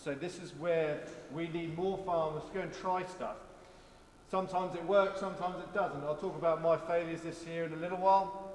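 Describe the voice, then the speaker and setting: A man with a high pitch and flat, monotone intonation at a fairly quick pace, big swings in loudness, and noticeable background noise. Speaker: farm manager. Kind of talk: open-day talk to an audience. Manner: casual, humorous, conversational.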